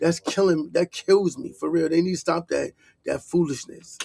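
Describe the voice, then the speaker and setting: With an American accent and a high pitch, a man speaks in a dry, close sound with no echo. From New York City (Harlem). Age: 50s. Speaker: online commentator. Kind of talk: reaction commentary, casual rant. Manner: animated.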